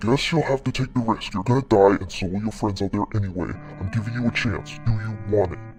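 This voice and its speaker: A man does a put-on character voice at medium pitch and a very fast pace. Clear music plays in the background. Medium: audio drama. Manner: calm, matter-of-fact.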